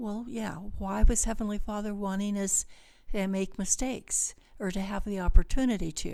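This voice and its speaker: A woman with an American accent speaks at a moderate pace and a medium pitch in a dark, mellow tone, her loudness swinging widely on a very clean recording with a silent background. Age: 70s. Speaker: behavioral health clinic owner. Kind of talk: interview conversation.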